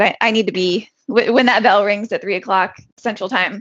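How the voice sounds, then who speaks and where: A woman with a normal speaking voice talks at a fairly quick pace and medium pitch, using ordinary pitch variation. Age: 40s. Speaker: entrepreneur and full-time trader. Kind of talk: casual interview.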